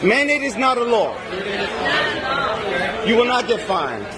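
A man speaks at a fairly slow pace in an extremely high pitch with big pitch swings, while clear crowd noise and other clear background noise sit behind him.

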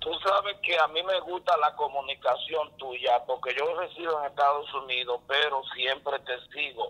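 Over noticeable background noise, a fairly high-pitched man talks at a fairly slow pace with hardly any pauses and ordinary pitch variation. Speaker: caller. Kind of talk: phone-in chat. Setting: phone call.

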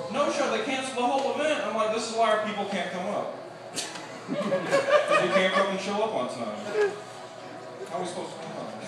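The voice moves at a fairly quick pace with ordinary pitch variation, while audible room echo and loud background noise fill the recording. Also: man. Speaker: stand-up comedian. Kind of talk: stand-up comedy routine. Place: stage.

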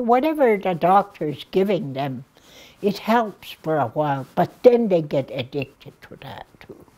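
A woman speaks slowly in a fairly low pitch with a dark, mellow tone. Her pitch swings very widely and her loudness shifts a great deal. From Blood Reserve, Alberta, Canada. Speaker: addictions worker, elder. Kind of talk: interview answer. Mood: earnest, caring. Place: studio.

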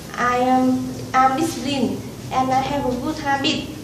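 At a fairly slow pace, the voice stays monotone and flat amid audible room echo and noticeable background noise. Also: woman. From Vietnam. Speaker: English learner giving a speech. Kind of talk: prepared speech / testimonial. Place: classroom. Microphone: camera far.

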